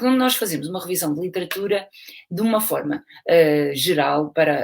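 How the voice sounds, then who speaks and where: Lively intonation marks this voice with a European Portuguese accent. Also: woman. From Portugal. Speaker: university lecturer and aquatic fitness instructor. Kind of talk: lecture. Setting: video call. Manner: slow; hesitant, with fillers.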